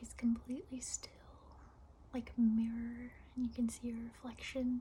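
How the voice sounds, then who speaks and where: A woman talks rather slowly, with clear background noise behind her. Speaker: meditation guide. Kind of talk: guided meditation. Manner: soft-spoken, whispered, slow.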